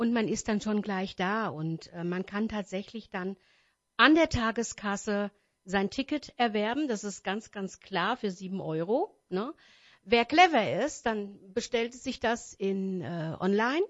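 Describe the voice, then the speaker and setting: Very slow, ordinarily varied pitch from a woman. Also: medium pitch for a woman. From Wächtersbach, Hesse, Germany. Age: 50s. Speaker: wedding singer and event organizer. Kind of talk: radio interview. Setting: radio studio. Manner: hesitant, many fillers.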